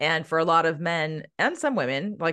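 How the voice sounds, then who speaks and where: A woman speaks in a plain, everyday voice with ordinary pitch variation. The background is quiet. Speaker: empowerment coach. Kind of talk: casual interview chat.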